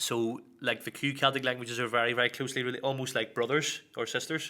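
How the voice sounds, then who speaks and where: Talking at a very fast pace, a man with an Irish accent has a bright, sharp tone and a monotone, flat intonation. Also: medium pitch for a man. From Northern Ireland, Belfast. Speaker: Irish language teaching assistant. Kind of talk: casual interview.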